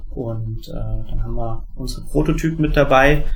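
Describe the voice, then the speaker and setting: A somewhat breathy man's voice, monotone and flat, with audible room echo. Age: 30s. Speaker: board game product developer. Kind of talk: interview. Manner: many filler sounds.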